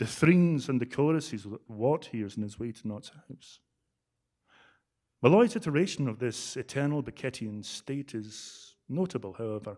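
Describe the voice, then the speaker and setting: On a very clean recording with a silent background, a man with a Scottish accent speaks at a moderate pace and medium pitch, his tone dark and mellow, with lively intonation and big swings in loudness. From Scotland. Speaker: drama scholar. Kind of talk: academic conference talk. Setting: conference room with speakers.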